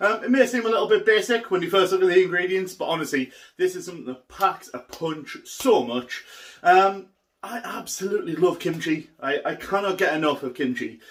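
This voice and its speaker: With a northern English accent, a man talks in an enthusiastic tone at a high pitch and with lively intonation. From northern England. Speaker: cooking youtuber. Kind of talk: cooking tutorial. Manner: casual, enthusiastic.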